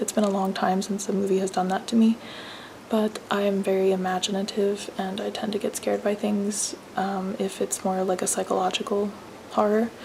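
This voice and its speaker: A whispering woman at a moderate pace, with noticeable background noise. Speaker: mom vlogger. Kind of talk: casual vlog talk to camera. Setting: at home at night, kids asleep. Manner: hesitant, many ums.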